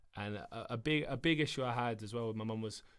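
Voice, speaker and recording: With a southern English accent, a man of medium pitch speaks at a moderate pace. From south England. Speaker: footballer. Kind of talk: interview answer.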